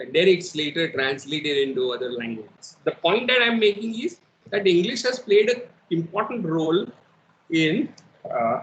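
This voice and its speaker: An Indian accent marks this man's high-pitched voice. His pitch swings very widely. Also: moderate pace. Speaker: professor. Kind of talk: lecture. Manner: code-switching English and Hindi.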